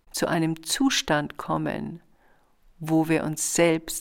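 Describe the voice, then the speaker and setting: Very deep and low, a woman's voice carries vocal fry and ordinary pitch variation. She talks at a very slow pace. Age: 60s. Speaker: podcast host and author. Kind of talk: casual reflective monologue; reading aloud from own book.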